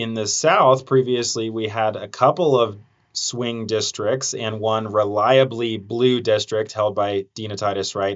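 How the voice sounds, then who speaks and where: A man with a normal speaking voice talks at a medium pitch and a fairly slow pace, using fairly even intonation and hardly any pauses. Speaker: TV news reporter and podcast host. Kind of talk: interview podcast.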